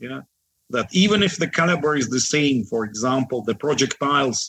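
In a Russian accent, a man speaks at a medium pitch and a moderate pace. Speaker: defense analyst. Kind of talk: interview.

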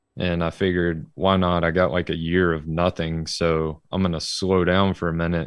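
A man with an Alabama accent, very deep, low pitch, monotone, flat intonation and a moderate pace. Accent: Southern US (Alabama). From Alabama, US South. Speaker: amateur drift racer. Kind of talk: casual chat.

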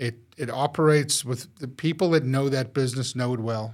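The recording is very clean, with a silent background. A man reads at a medium pitch, his intonation fairly even. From South Africa. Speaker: restaurant entrepreneur. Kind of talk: casual chat.

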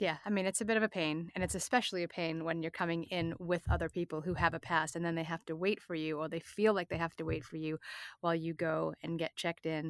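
In a very clean recording with a silent background and a dry, close sound with no echo, a woman with an American accent talks at a very fast pace and a fairly low pitch. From Massachusetts South Shore (Hanover). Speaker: fintech executive. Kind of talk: interview.

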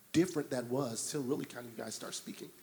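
Medium-pitched male speech with an American accent, a normal speaking voice and pitch moving in a normal way. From Detroit, Michigan. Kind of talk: panel discussion.

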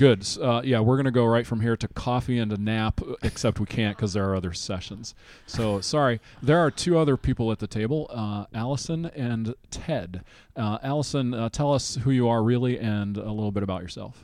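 A man with a normal speaking voice, medium pitch, ordinary pitch variation and a fairly quick pace. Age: 50s. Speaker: podcast host. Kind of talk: casual chat. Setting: convention venue.

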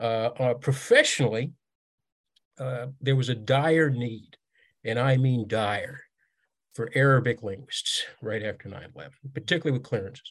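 A man talks fairly slowly in a medium-pitched, somewhat breathy voice, with fairly even intonation and long, frequent pauses. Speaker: military veteran and author. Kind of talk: casual interview chat.

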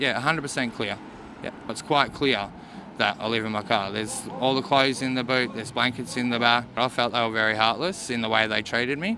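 A man's medium-pitched voice at a fairly quick pace, fairly even in intonation, amid noticeable background noise. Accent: Australian. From Mornington Peninsula, Victoria, Australia. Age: 30s. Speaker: homeless man. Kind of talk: interview.

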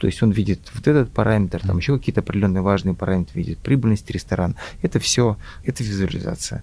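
The delivery comes at a very fast pace. The tone is dark and mellow. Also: man, fairly low pitch for a man, ordinary pitch variation. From Russia, Volga region (Mari El). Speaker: IT entrepreneur, company founder. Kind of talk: interview. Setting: business school campus. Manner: halting, repeats words.

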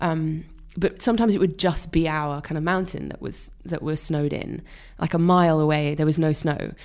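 A woman with a Welsh accent, fairly low-pitched and fairly quick, with fairly even intonation on a very clean recording with a silent background. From rural Wales. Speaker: illustrator. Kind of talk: interview.

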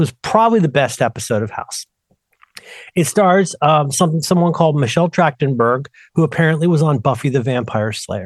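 The man's fairly high voice comes at a fairly quick pace, with a dry, close sound and no echo. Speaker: podcast co-host. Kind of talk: casual chat. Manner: fast.

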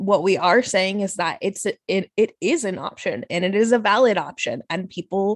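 In an ordinary speaking voice, a woman talks at a fairly slow pace with medium pitch and ordinary pitch variation, the sound dry and close with no echo. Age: 30s. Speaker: podcaster and educator. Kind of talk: casual interview.

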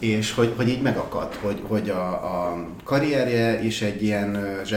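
Amid noticeable background noise and audible room echo, a man talks with a fairly low pitch and fairly even intonation. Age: 30s. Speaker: productivity enthusiast. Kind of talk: casual chat.

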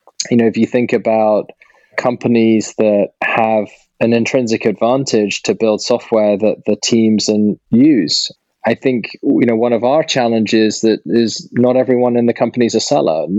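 Intonation stays fairly even as a man speaks in a British accent. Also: medium pitch for a man, moderate pace, very even loudness, dry, close sound with no echo. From UK. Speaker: startup founder and CEO. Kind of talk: interview. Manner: hesitant with fillers and repetitions.

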